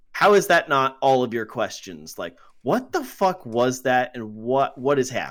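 Over a silent background in a very clean recording, a man speaks at a moderate pace with an ordinary speaking voice, medium pitch, and lively intonation. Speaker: podcast co-host. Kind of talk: casual banter, movie review podcast.

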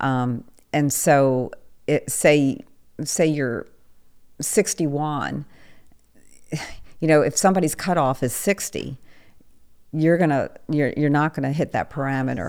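The speaker goes at a very slow pace, with long, frequent pauses. Pitch varies in an ordinary way. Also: woman, very deep, low pitch for a woman. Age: 60s. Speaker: online dater sharing dating experiences. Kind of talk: interview. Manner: halting.

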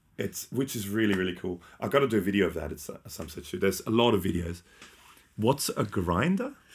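This man has an Australian accent and a fairly low pitch. He talks at a fairly quick pace with ordinary pitch variation. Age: 40s. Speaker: podcast host. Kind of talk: casual chat. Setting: live stream.

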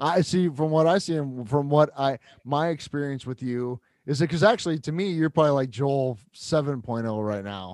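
Using a plain, everyday voice, a man talks with ordinary pitch variation. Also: fairly high pitch for a man, moderate pace. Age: 40s. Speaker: podcast co-host. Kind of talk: casual chat. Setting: remote call.

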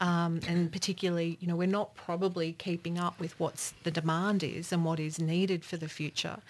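With an Australian accent, the speaker talks at a fairly quick pace in a monotone, flat intonation, in a very clean recording with a silent background. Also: woman, fairly low pitch for a woman. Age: 50s. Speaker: regional business development official. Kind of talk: panel discussion.

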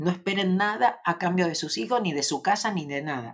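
On a very clean recording with a silent background, a woman talks at a medium pitch. Her pitch swings very widely. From Argentina. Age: 60s. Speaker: spiritual teacher and live streamer. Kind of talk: casual live stream chat. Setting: home, live stream.

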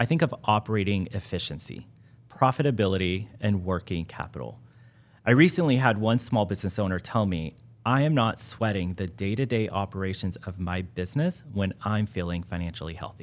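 A man with an American accent uses a plain, everyday voice, fairly low in pitch, with lively intonation at a fairly quick pace, in a very clean recording with a silent background. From West Texas (Midland). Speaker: banking consultant. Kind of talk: interview.

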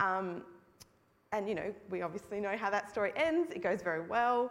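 In an Australian accent, a woman talks at a moderate pace with medium pitch. Her intonation is lively. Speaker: hospital charity co-founder. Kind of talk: testimony. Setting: church.

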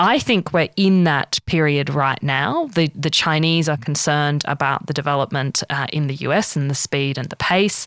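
A woman with an Australian accent and very deep, low pitch with ordinary variation, at a moderate pace with hardly any pauses, in dry, close sound with no echo on a very clean recording with a silent background. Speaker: podcast host. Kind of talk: interview conversation. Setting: studio.

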